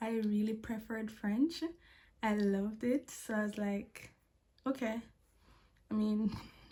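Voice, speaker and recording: A woman with a fairly high, somewhat breathy voice and a dark, mellow tone speaks at a moderate pace in a flat monotone. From Jamaica. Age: 20s. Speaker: vlogger, language assistant. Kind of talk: casual vlog talk to camera. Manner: stutters when anxious.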